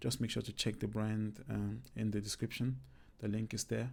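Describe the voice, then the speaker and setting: A man with a non-native accent talks at a fairly quick pace in a fairly low pitch. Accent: own accent noted, non-native English. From Cameroon. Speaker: YouTuber, comedy creator. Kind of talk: casual vlog talk.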